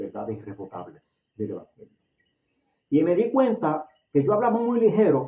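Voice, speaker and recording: A man speaks with a Puerto Rican accent. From Puerto Rico. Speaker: lay preacher, religious online show host. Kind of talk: sermon. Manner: naturally fast talker.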